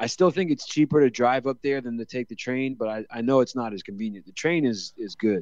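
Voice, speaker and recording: The man has a plain, everyday voice. He speaks at a fairly quick pace. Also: dry, close sound with no echo. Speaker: podcast co-host. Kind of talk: casual chat.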